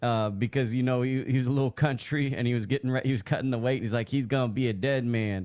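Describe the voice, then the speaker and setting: A man speaks very fast with an American accent, barely pausing at all. His pitch sits in the middle of his range, and his intonation stays fairly even. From US West Coast. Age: 40s. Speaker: boxing interviewer. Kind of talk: interview.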